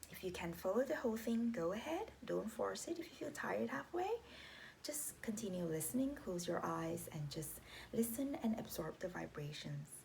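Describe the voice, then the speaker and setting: A woman's calm tone at a moderate pace, with noticeable background noise. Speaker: meditation guide. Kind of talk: guided meditation instruction. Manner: calm, instructive.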